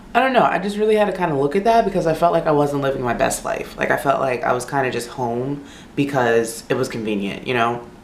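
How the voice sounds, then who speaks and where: A woman with a very deep, low pitch talks at a very fast pace with hardly any pauses and very wide pitch swings. Room echo is audible, and there is noticeable background noise. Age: 20s. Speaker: beauty vlogger. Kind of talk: casual chat. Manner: casual, filler-heavy.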